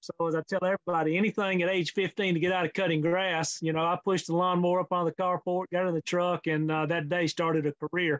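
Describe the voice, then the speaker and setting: Delivered with a Mississippi accent at a very fast pace, the speech is monotone and flat, with very even loudness and hardly any pauses. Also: man, high pitch for a man. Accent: Southern US (Mississippi). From US South, Mississippi. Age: 60s. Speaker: fencing industry consultant. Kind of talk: interview. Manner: hesitant, many fillers.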